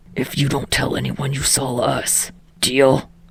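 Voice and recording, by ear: Putting on a character voice, a woman speaks at an extremely low pitch with little pitch movement, a husky, rough edge and vocal fry, at a fairly slow pace.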